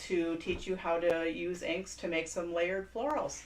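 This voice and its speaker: A woman speaks in an animated tone at a moderate pace. There is noticeable background noise. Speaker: craft store class host. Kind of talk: live stream introduction. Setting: live stream. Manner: animated, varied inflection.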